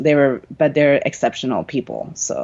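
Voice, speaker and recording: The pace holds moderate. It is a woman who speaks. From Chile (Santiago), bilingual English-Spanish upbringing. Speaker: dancer and dance teacher. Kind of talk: casual interview conversation.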